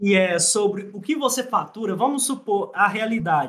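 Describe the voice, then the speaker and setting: This man's intonation is lively. He talks at a high pitch. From Minas Gerais, Brazil. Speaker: hairdresser and salon owner. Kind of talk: casual chat.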